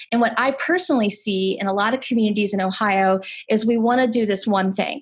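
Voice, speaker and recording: Over a quiet background, a woman with a fairly high, somewhat breathy voice speaks at a fairly quick pace. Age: 40s. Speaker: nurse and harm reduction speaker. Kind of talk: webinar Q&A answer. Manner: halting, many fillers.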